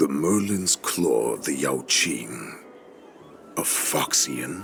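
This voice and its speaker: There is clear background noise. Over it, a man uses a put-on character voice at a very slow pace. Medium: video game. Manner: commanding, mocking.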